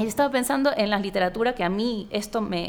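A normal speaking voice at a moderate pace, with ordinary pitch variation. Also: woman. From Ecuador, Guayaquil (coast). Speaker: novelist. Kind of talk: interview conversation. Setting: book fair.

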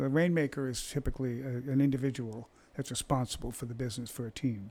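With an ordinary speaking voice, a man talks at medium pitch with fairly even intonation. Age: 60s. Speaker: real estate agent. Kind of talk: casual chat.

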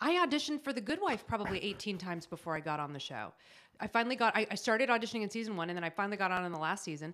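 Speaking at a very fast pace with an American accent, a woman of medium pitch makes very wide pitch swings. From Los Angeles suburbs, California. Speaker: actress and writer. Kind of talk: casual chat.

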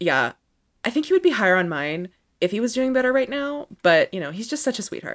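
In a dry, close sound with no echo, a woman talks at a fairly quick pace in an animated tone, her fairly high pitch making very wide swings. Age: 20s. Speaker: tennis podcast co-host. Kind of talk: casual chat.

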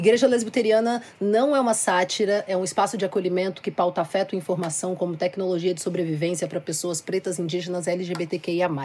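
Through noticeable background noise, a woman speaks at a medium pitch with ordinary pitch variation. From Minas Gerais countryside, Brazil. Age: 20s. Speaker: singer-songwriter and activist. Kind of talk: panel discussion.

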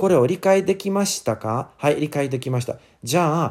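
A man's dark, mellow voice in an English accent. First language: English (speaking Japanese). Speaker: English teacher. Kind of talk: casual chat. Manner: halting.

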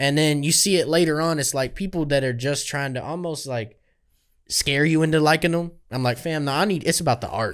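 Talking at a fairly quick pace with a normal speaking voice, a man with an American accent has a fairly high pitch. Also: ordinary pitch variation, very clean recording, silent background. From Kentucky, US. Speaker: podcast host. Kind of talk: casual interview chat. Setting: video recording in studio.

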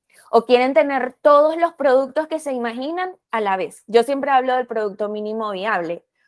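A woman with a high pitch and lively intonation speaks at a moderate pace with hardly any pauses and big swings in loudness, recorded very cleanly against a silent background with a dry, close sound and no echo. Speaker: podcast host. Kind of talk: podcast interview.

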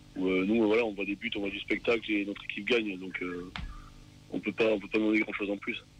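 A man with a fairly low pitch talks at a fairly quick pace in a monotone, flat delivery over noticeable background noise. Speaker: supporter group chant leader. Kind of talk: casual radio interview. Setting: phone call.

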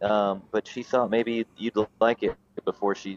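Recorded with a dry, close sound and no echo, a man with a North Carolina accent speaks at medium pitch and a moderate pace in a monotone, flat intonation. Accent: Southern US (North Carolina). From North Carolina, Raleigh outskirts. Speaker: bluegrass musician. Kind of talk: casual interview chat. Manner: halting, many fillers and repeats.

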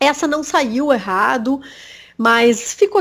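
A woman with a high pitch, lively intonation and a southern Brazilian accent. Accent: gaúcho Brazilian Portuguese. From Rio Grande do Sul, Brazil (Bagé, Uruguay border). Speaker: journalist. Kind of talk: interview. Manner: halting, many repetitions.

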